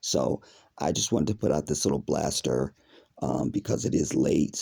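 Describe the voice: In a put-on character voice, a man sounds raspy and very deep, low in pitch, keeping a moderate pace and very even loudness in a dry, close sound with no echo.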